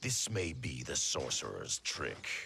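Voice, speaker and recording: A man puts on a character voice, very deep and low in pitch, at a fairly slow pace. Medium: video game. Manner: stern, suspicious.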